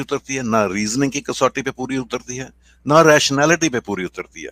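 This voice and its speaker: This man's voice sits at medium pitch, with ordinary pitch variation and a moderate pace. The recording is very clean, with a silent background and a dry, close sound with no echo. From Pakistan. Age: 60s. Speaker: atheist debater. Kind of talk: street debate. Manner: hesitant, halting.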